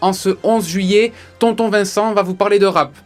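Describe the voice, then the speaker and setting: Over noticeable background noise, a man with a high voice speaks at a fairly quick pace with fairly even intonation. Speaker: radio columnist. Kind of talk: radio chronicle.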